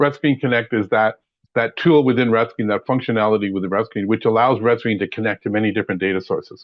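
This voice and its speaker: The man's voice sits at a medium pitch. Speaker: software trainer. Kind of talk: webinar presentation. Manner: fast.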